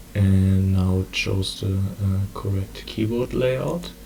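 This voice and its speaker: A man's fairly low-pitched voice with a German accent. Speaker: community organizer. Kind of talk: tutorial. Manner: halting.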